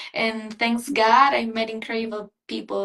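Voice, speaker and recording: Here a woman speaks with a fairly high pitch. Her pace is fairly slow. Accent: Spanish. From Ecuador. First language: Spanish. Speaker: beauty pageant contestant. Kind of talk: interview.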